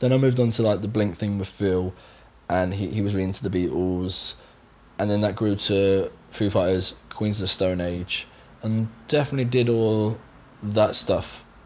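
Here a man speaks in a Somerset accent. His pitch is fairly low and his intonation fairly even. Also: moderate pace. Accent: Somerset West Country. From Somerset, England. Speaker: session drummer. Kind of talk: casual interview chat.

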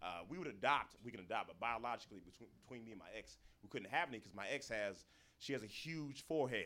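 Over noticeable background noise, a man with an American accent talks at a very fast pace, with lively intonation and big swings in loudness. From Florida. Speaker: stand-up comedian. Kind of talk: stand-up. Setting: stage with audience.

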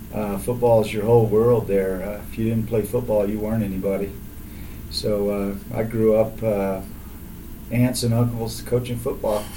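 A man's fairly low, monotone voice with flat intonation and an American accent, at a fairly slow pace, with audible room echo. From Texas, south of Houston. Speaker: athletic trainer. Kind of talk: casual interview.

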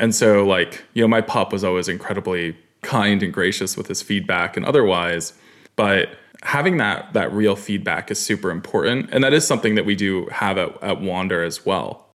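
With an American accent and an ordinary speaking voice, a man talks at a moderate pace with fairly low pitch and ordinary pitch variation, on a very clean recording with a silent background. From New York (Katonah, outside NYC). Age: 20s. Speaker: startup founder and CEO. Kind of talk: interview conversation.

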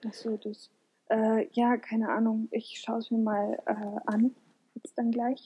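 The voice is somewhat breathy with a dark, mellow tone, moving at a very slow pace with fairly even intonation. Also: woman, fairly high pitch for a woman. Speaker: podcast co-host. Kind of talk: casual chat.

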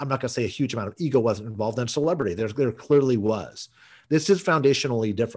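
Over a quiet background, a man at medium pitch talks at a very fast pace with lively intonation. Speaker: podcast host.

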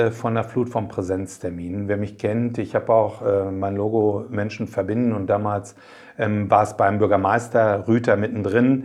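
Using a normal speaking voice, a man talks at a fairly slow pace with a fairly low pitch and fairly even intonation. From Germany, Paderborn area (East Westphalia). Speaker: mayor and district administrator candidate. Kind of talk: interview.

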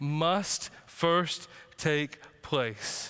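A man speaks in a bright, sharp tone. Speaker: teaching pastor. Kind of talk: sermon. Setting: church. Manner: casual, joking, conversational; earnest, urgent, warning.

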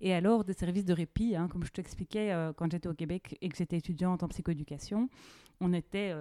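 Dark, mellow female voice at a fairly low pitch and moderate pace, with ordinary pitch variation and a dry, close sound with no echo. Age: 30s. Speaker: podcast host, psychoeducator. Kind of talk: interview conversation.

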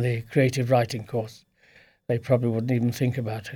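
A man's somewhat breathy, dark and mellow voice at medium pitch, monotone and flat, at a moderate pace, in a very clean recording with a silent background. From Sussex, southern England. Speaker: author. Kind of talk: interview. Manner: halting.

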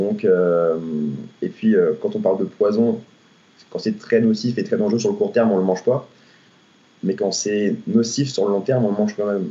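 A moderate pace broken by long, frequent pauses. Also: man. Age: 20s. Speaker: personal trainer. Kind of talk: podcast interview. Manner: hesitant, many fillers.

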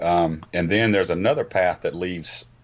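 Here a man talks with fairly even intonation. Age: 40s. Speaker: backpacker and hiking trail organization president. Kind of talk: casual podcast interview.

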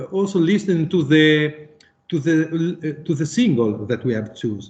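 A man with an Italian accent speaks at a moderate pace. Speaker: musician. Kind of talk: interview. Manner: halting.

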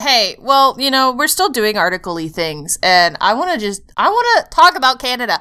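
Bright and sharp in tone, a woman with an American accent speaks in a high pitch at a moderate pace, with very wide pitch swings and hardly any pauses. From United States. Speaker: podcast co-host. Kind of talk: casual chat. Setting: voice call over Discord.

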